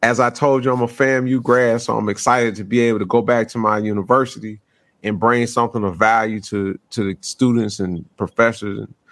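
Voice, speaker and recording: Speaking at a fairly quick pace, a man with a Southern US accent keeps his intonation fairly even. The recording is very clean, with a silent background. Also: medium pitch for a man. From US South. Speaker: podcast host. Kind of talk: casual podcast chat. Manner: laid back.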